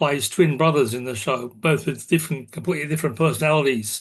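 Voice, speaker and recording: Here a man with an Australian accent talks at a fairly quick pace. His pitch is fairly high, with ordinary pitch variation. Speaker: society meeting host. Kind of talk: online meeting announcements. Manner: hesitant, many fillers.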